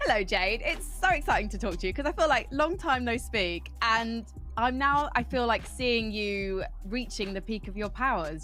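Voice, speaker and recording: A woman talks in a British accent at a moderate pace. Music plays in the background, and room echo is audible. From Britain. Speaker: esports interviewer. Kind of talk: interview. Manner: rougher when excited.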